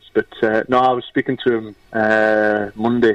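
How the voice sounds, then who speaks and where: A man with a Geordie accent, fairly low in pitch, at a moderate pace and in a monotone, flat intonation. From northern England, Newcastle. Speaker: former footballer and youth coach. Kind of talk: casual chat.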